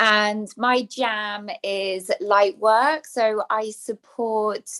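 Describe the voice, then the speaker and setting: A woman with an English accent speaks at a fairly high pitch with fairly even intonation. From England. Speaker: spiritual teacher. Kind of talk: podcast interview.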